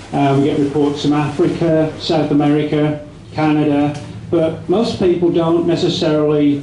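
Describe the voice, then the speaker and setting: A man speaks at a fairly slow pace with an English accent, his voice fairly high for a man. There is audible room echo and noticeable background noise. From England. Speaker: conference speaker on cryptozoology. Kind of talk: presentation. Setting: stage with audience. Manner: casual, hesitant with fillers.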